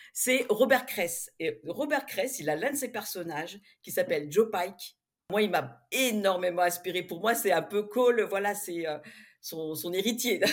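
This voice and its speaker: The recording is very clean, with a silent background. A woman with a normal speaking voice and medium pitch talks at a fairly slow pace with lively intonation. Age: 50s. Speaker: romance novelist. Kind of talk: interview.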